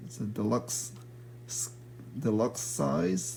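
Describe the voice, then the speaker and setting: A man's dark, mellow, somewhat breathy voice at a very slow pace, with ordinary pitch variation and light background noise. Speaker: toy reviewer. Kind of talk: product review. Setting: at home at night. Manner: hesitant, many fillers. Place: home room. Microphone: phone near.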